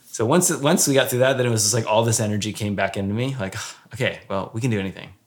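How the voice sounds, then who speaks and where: A man with a normal speaking voice, fairly low pitch and ordinary pitch variation, on a very clean recording with a silent background. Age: 40s. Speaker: former pastor. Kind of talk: casual chat. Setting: home.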